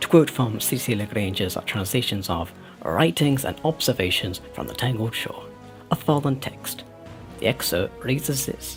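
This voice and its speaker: Music plays in the background as a man speaks. His pitch sits in the middle range, and his intonation is lively. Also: moderate pace. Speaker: video game lore narrator. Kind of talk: in-character documentary narration. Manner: formal, explanatory.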